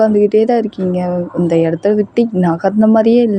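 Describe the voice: Simply plain reading aloud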